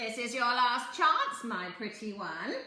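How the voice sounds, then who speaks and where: A female-sounding put-on character voice, high in pitch, at a fairly slow pace with slight echo. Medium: read story. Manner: sly, teasing, cackling.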